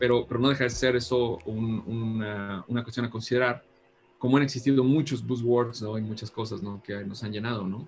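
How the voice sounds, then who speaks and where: With a central Mexican accent, a man talks at a moderate pace in a somewhat breathy voice of medium pitch, keeping his intonation fairly even. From Mexico, Guanajuato. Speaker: design consultant and professor. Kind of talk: interview.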